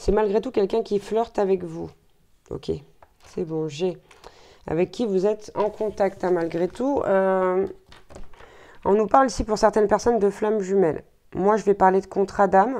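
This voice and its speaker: A woman's medium-pitched, dark, mellow voice at a fairly slow pace, with long, frequent pauses against a quiet background. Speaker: tarot card reader. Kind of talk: tarot guidance reading. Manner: hesitant with fillers.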